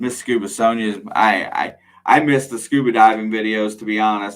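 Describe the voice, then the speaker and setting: A man's fairly low voice in a flat, monotone delivery. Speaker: metal detecting channel host. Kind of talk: live stream Q&A chat. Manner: loud; casual, conversational.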